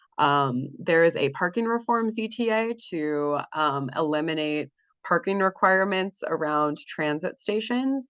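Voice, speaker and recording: A woman's fairly low voice, lively in intonation, against a quiet background. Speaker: community organizer. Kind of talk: presentation on video call meeting. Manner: fast; hesitant, many ums.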